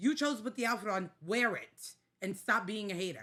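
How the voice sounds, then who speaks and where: Animated, with a New York accent, a woman speaks at a moderate pace with a medium pitch, lively intonation, a bright, sharp tone and vocal fry. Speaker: podcast co-host. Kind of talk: casual chat.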